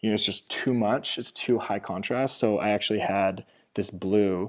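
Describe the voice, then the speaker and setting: An ordinary speaking voice, this man's fairly low pitch comes at a moderate pace over a quiet background. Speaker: art course instructor. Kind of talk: tutorial. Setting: video call.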